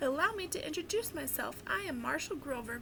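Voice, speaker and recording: A woman uses a put-on, squeaky character voice at a fairly quick pace. Clear background noise can be heard. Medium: read story. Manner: formal, courteous.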